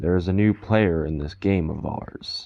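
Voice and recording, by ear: A man puts on a character voice. His pitch is very deep and low.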